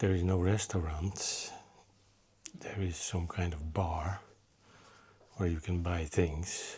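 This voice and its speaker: A quiet, somewhat breathy man with a very deep, low pitch and monotone, flat intonation, speaking at a very slow pace with long, frequent pauses amid audible room echo. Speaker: motorcycle travel vlogger. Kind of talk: travel vlog narration. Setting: guest house room.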